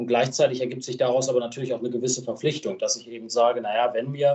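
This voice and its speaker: At a very fast pace, a man speaks with medium pitch. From Lower Saxony, Germany. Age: 20s. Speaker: local politician. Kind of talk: casual interview.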